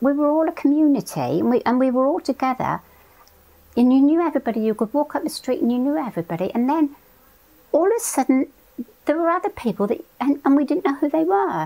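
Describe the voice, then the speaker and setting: A woman's high voice in a West Country accent, at a fairly quick pace. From England, Devon (Totnes). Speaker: oral history interviewee. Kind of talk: interview, reminiscence.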